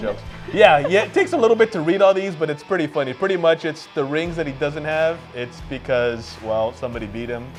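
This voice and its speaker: Music runs in the background. A man speaks fairly quickly with lively intonation. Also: fairly high pitch for a man. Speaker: sports segment co-host / analyst. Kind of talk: TV sports segment talk.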